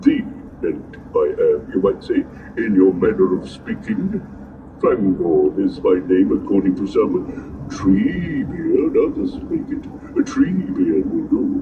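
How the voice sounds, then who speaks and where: Man in a put-on character voice at a fairly slow pace, with clear background noise and slight echo. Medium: read story. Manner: slow, ponderous, humming.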